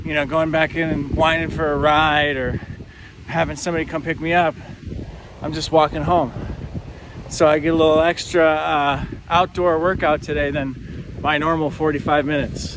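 The man speaks at a moderate pace with monotone, flat intonation. The sound is dry with no echo, though noticeable background noise comes through. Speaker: vlogger. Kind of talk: casual vlog chat. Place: street. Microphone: phone near.

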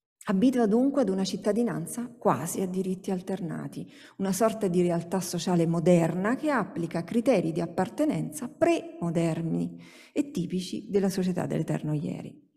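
At a moderate pace, a woman speaks with a medium pitch. Her intonation is lively and the background is quiet. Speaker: sociologist, university researcher; speaker. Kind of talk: academic conference talk. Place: hall. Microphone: podium.

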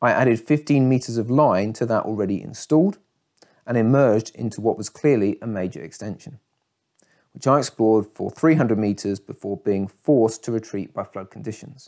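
Talking at a fairly quick pace, a man with a dark, mellow tone and ordinary pitch variation is heard over a quiet background. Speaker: cave diving narrator. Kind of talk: documentary storytelling. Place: home room.

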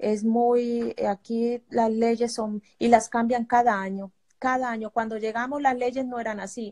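A woman's fairly high, dark and mellow voice, monotone and flat, at a fairly slow pace over a quiet background. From Colombia. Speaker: refugee. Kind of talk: testimony. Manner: halting. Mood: worried, grateful. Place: home room. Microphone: phone near.

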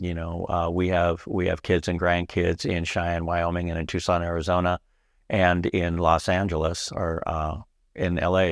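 The sound is dry, with no echo, against a quiet background. The pace is moderate. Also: man. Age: 50s. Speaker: aircraft paint shop supervisor. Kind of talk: casual interview. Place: office. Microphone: lapel.

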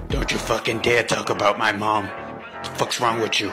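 Over loud background noise and sound effects, a man puts on a character voice at medium pitch and a moderate pace. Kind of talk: comic parody dub. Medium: fan dub. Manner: profane, aggressive, brash.

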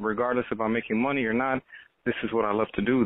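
A medium-pitched man with an American accent and monotone, flat intonation. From Texas, Austin. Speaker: accordion musician. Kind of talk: interview.

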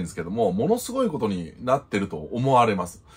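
A man's voice carries a slight breathiness. Its pitch leaps up and down over a very wide range. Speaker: YouTube news commentator. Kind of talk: solo commentary. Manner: polite, formal sign-offs. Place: home room.

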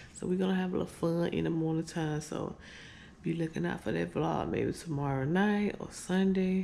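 A woman speaks at a fairly low pitch with a dark, mellow tone. Vocal fry runs through her fairly even intonation.

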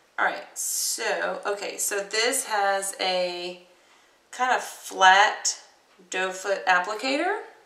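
In a room with audible echo, a woman speaks very slowly with ordinary pitch variation. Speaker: beauty vlogger. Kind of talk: casual makeup tutorial. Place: home room. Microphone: webcam.

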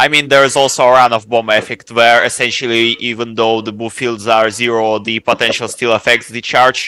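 A man's fairly quick, monotone, flat delivery with hardly any pauses, a bright, sharp tone, dry sound with no echo, and a quiet background. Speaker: student; lecturer. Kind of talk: lecture Q&A. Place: classroom.

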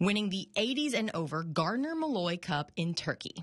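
A woman with a medium pitch speaks at a moderate pace. Her voice is somewhat breathy, with lively intonation. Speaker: TV news reporter. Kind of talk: TV news report narration.

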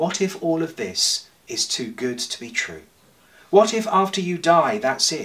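A man talks in a high voice with very wide pitch swings. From England. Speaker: priest. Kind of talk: church sermon. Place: home room. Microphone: camera far.

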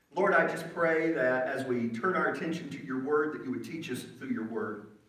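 Audible room echo surrounds a man's voice. He talks at a moderate pace with lively intonation. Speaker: preacher. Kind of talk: sermon. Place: church.

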